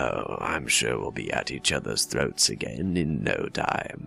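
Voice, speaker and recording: A raspy, very deep-pitched male put-on character voice at a fairly slow pace, with clear music in the background. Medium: solo performance. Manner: wry, tired.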